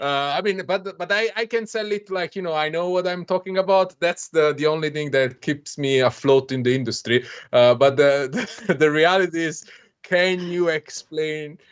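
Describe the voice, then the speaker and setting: A man with a fairly high pitch speaks with an Italian accent against a quiet background. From Italy. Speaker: software developer, stream co-host. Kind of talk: casual chat. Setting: live stream. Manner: halting.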